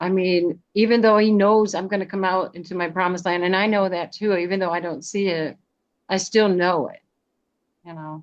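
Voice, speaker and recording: Against a quiet background, a woman of medium pitch speaks at a moderate pace, her intonation fairly even while her loudness swings widely. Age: 60s. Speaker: Zoom leadership group participant. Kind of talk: testimony. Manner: halting.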